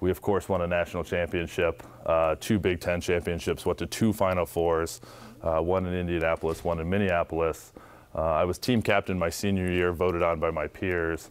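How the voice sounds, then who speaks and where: The delivery comes at a fairly quick pace. An American accent is heard. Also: man, very deep, low pitch for a man. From Ohio, US Midwest. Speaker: former basketball player and tech employee; guest. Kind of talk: motivational talk to students. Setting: school audience. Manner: animated. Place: classroom. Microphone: lapel.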